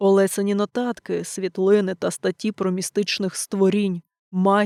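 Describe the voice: Over a quiet background, the recording consists of plain reading aloud.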